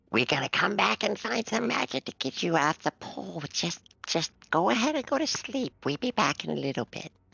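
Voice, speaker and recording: A man whispers in a put-on character voice. The whole delivery is a whisper. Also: moderate pace. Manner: whispering.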